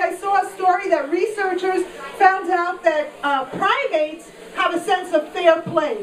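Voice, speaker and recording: A woman with a New York accent speaks at an extremely high pitch with ordinary pitch variation. Audible room echo and noticeable background noise surround her voice. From Queens, New York. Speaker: stand-up comedian. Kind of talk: stand-up. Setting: stage with audience.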